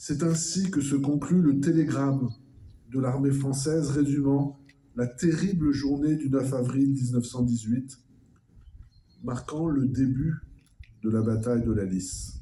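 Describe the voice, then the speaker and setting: Fairly high in pitch, this man's voice has a dark, mellow tone, is somewhat breathy, and shows ordinary pitch variation. He talks at a very slow pace with long, frequent pauses. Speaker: official speaker at a commemoration. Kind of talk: formal commemorative speech. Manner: formal.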